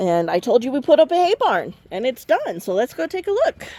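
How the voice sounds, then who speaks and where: The speech comes at a moderate pace through noticeable background noise. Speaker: homesteader vlogger. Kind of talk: casual vlog walkthrough.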